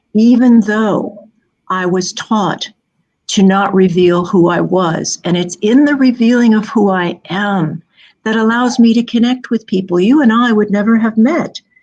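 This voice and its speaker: A woman speaks at a fairly slow pace in a somewhat breathy voice. Her pitch is fairly high and varies in an ordinary way. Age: 70s. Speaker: author and keynote speaker. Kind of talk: interview.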